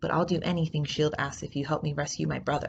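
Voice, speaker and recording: Growling in a put-on character voice, a woman talks at a very fast pace with a very deep, low pitch. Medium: read story.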